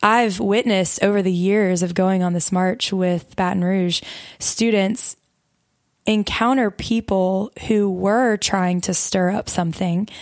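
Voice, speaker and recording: A woman's medium-pitched voice with a Southern US accent, fairly slow and very even in loudness, with fairly even intonation, on a very clean recording with a silent background. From US South, Mobile, Alabama. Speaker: campus ministry worker and co-host. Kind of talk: casual chat.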